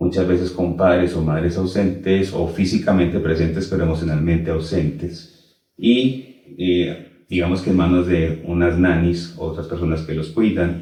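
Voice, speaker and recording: A man's very deep, low, somewhat breathy voice with a Colombian accent, fairly slow with hardly any pauses, fairly even intonation, and audible room echo. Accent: Colombian, noticeable. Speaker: teacher and Kabbalah instructor. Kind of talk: interview.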